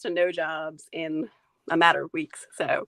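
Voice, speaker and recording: At a moderate pace, a woman speaks at medium pitch with a dry, close sound and no echo. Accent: slight North Carolina. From Maine. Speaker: food photographer, stay-at-home mom. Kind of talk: interview. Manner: casual, many fillers.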